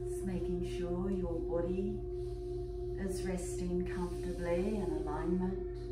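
Amid loud background noise and audible room echo, a woman speaks at a fairly slow pace. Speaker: yoga and meditation teacher. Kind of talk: guided meditation. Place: home room. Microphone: camera far.

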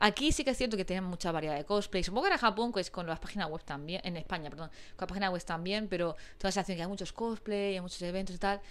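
Talking at a very fast pace with hardly any pauses, a woman uses a medium pitch and ordinary pitch variation. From Spain. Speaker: YouTuber. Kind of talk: casual chat. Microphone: lapel.

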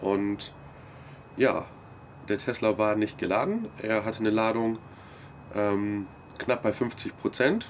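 Light background noise hums along. A man speaks at a very slow pace. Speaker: vlogger. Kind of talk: casual vlog recap. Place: street. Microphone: camera far.

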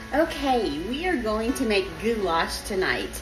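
A woman talks while music plays clearly in the background. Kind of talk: cooking tutorial. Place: kitchen. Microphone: phone near.

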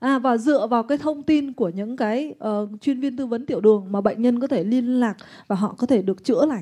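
Against a quiet background, a woman with a high pitch and a dark, mellow tone speaks at a fairly quick pace, with ordinary pitch variation and hardly any pauses. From Vietnam. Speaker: interpreter; presenter. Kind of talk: consecutive interpreting at a seminar. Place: hall. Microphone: handheld.

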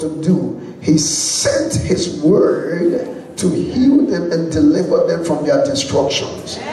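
The recording has audible room echo. Light background noise sits underneath. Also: man. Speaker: speaker. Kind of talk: sermon. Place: church. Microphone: handheld.

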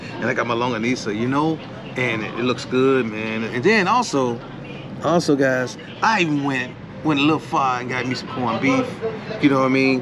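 A man speaks at a fairly quick pace with ordinary pitch variation. Background noise is noticeable. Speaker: food vlogger. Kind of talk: casual vlog chat. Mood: relaxed, cheerful. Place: street. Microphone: phone near.

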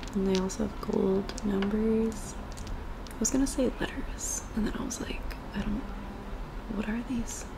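Soft-spoken, a woman talks at a moderate pace with ordinary pitch variation over noticeable background noise. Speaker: ASMR creator. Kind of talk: ASMR soft-spoken rambling. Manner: casual, rambling. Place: home room. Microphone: webcam.

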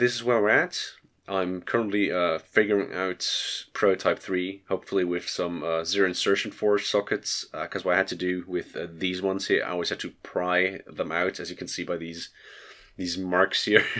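Over a very clean recording with a silent background, a man talks at a moderate pace in a very deep, low pitch, his nasal voice bright and sharp in tone and his intonation monotone and flat. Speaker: electronics hobbyist. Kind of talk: casual tutorial talk to camera. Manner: hesitant, filler-heavy.

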